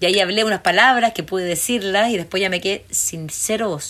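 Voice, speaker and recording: A woman with a Chilean accent talks at a fairly quick pace. Her tone is animated and her pitch is medium. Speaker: documentary filmmaker. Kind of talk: interview.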